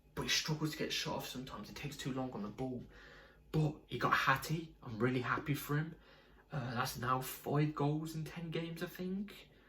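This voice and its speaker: This man talks at a fairly quick pace in a fairly high pitch, with ordinary pitch variation and audible room echo. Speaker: football fan video creator. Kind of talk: casual fan match review. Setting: home at night.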